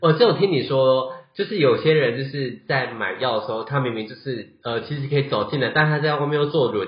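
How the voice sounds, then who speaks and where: Somewhat breathy, a man talks at a fairly quick pace with a fairly high pitch. His loudness swings a lot, while his pitch varies in an ordinary way. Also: hardly any pauses. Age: 30s. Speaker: podcast host. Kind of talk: casual chat.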